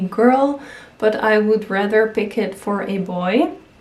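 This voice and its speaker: Her pitch fairly high, a woman with a non-native accent speaks at a fairly slow pace. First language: not English. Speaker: YouTuber. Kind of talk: casual vlog talk.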